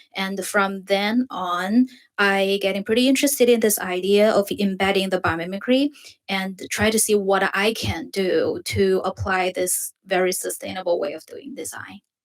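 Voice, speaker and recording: A woman's voice at a medium pitch, with ordinary pitch variation. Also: moderate pace. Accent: Chinese. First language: Chinese. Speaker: design student. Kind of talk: presentation. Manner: halting.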